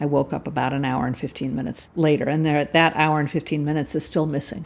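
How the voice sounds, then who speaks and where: A woman's very deep, low voice with a Californian accent, very fast pace and fairly even intonation, in a very clean recording with a silent background. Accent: General American (Californian). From US West Coast, Palo Alto, California. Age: 60s. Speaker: cyclist interviewee. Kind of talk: personal storytelling interview.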